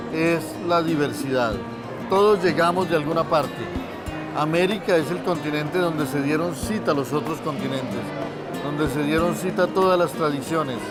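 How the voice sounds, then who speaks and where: Over music in the background, a man with a fairly high pitch talks at a moderate pace, using ordinary pitch variation and long, frequent pauses. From Colombia. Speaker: writer. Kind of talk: interview answer.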